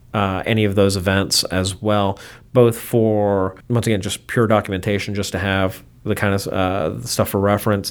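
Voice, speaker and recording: Heard on a very clean recording with a silent background, a man with an American accent and an ordinary speaking voice talks at a moderate pace and fairly low pitch. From US, Baltimore, of Cuban parents. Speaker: aviation photographer. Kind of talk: interview. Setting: in person.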